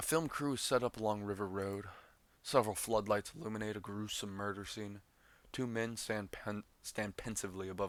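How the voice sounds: Fairly even intonation in a natural reading voice.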